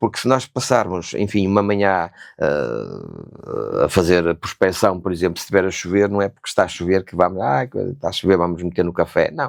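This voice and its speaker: Over a silent background in a very clean recording, a man with a very deep, low pitch speaks at a moderate pace with ordinary pitch variation. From northern Portugal, Famalicão. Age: 60s. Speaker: real estate consultant and former motorcycle racer. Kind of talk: podcast interview.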